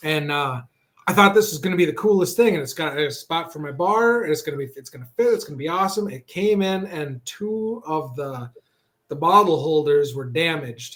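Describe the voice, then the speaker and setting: A man with an American accent talks at a fairly quick pace and a fairly high pitch. His intonation is lively, and his loudness swings widely. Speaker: cooking show guest. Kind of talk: casual chat.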